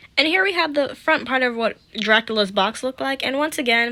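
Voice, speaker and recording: A woman talks fairly quickly with lively intonation against noticeable background noise. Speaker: doll collector youtuber. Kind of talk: casual review vlog.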